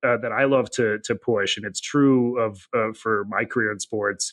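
A man with an American accent speaks at a moderate pace and medium pitch in a normal speaking voice. The background is quiet. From US Midwest (Janesville, Wisconsin). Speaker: insurance data executive. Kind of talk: interview.

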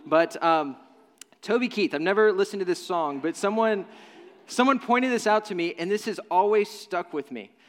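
With an American accent, a man speaks at a moderate pace. His pitch is high for a man, and his intonation is lively. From Nashville, Tennessee (US South). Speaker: pastor. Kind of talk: sermon. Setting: church.

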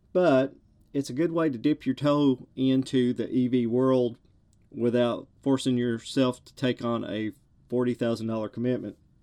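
A man's dark, mellow voice at a moderate pace, with big swings in loudness against a quiet background. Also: medium pitch for a man. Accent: strong Southern US. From US South. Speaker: podcast host. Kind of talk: solo monologue podcast.

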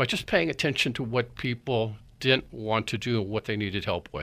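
A man's bright, sharp voice shows ordinary pitch variation on a very clean recording with a silent background. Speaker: business consultant and founder. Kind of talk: radio interview. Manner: hesitant, many filler words.

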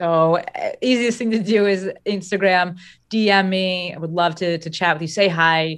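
A woman speaks in an unremarkable speaking voice with an American accent, at medium pitch and a moderate pace. Her intonation stays fairly even against a quiet background. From New Jersey. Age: 30s. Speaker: business coach. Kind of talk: interview conversation.

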